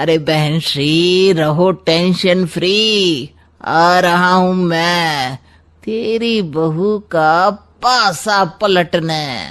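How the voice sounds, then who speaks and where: A cartoonish character voice from a man, high-pitched and very slow, against a quiet background. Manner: glib, sarcastic, smug.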